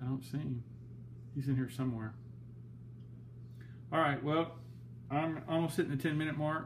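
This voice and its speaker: Somewhat breathy and monotone, a man with a Western Kentucky accent speaks in flat intonation, with audible room echo around him. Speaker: aquarium hobbyist vlogger. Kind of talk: casual video update.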